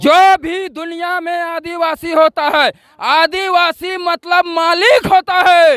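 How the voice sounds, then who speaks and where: A man speaks in an extremely high pitch with a bright, sharp tone, fairly even intonation and hardly any pauses, the sound dry and close with no echo. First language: Kurmali (speaking Hindi). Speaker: community activist. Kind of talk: interview.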